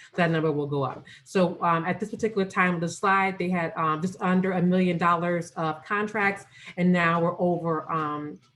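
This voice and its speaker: The speech runs with hardly any pauses and fairly even intonation. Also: woman, fairly low pitch for a woman. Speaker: business program manager. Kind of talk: presentation on a video call. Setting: Zoom video call. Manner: fast; halting with fillers.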